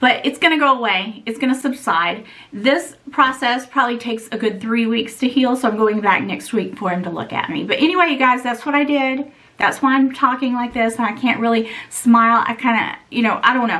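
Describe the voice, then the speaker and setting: A woman's high voice, fairly quick, with ordinary pitch variation and noticeable background noise. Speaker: beauty and luxury vlogger. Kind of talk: casual vlog talk to camera.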